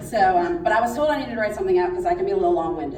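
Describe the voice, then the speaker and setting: In a room with audible echo, a woman speaks loudly with very wide pitch swings. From Pittsburgh, Pennsylvania. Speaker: schoolteacher. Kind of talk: speech.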